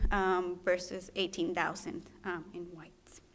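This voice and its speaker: At a fairly slow pace, a woman with a Spanish accent talks in a monotone, flat intonation at medium pitch. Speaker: physician trainee presenting research. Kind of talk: research presentation. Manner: halting, many fillers.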